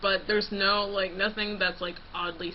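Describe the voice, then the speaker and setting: Over noticeable background noise, a woman speaks with a Californian accent. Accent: California. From California, Los Angeles. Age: 20s. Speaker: vlogger, college student. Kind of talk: casual vlog.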